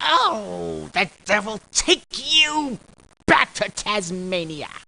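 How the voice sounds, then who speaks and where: Very slow delivery in a put-on character voice pitched fairly high. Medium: audio drama.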